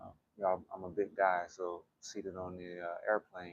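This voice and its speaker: Quiet and at a moderate pace, a man speaks in a very deep, low pitch. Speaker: qigong instructor. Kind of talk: guided exercise class. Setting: gym while traveling. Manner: hesitant, many fillers.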